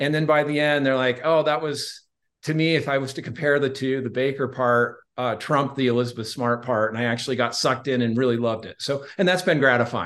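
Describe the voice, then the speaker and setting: Against a quiet background, a man with an American accent and a normal speaking voice talks at a fairly quick pace in a medium pitch, his intonation fairly even. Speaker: author and public relations spokesman. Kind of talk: casual interview.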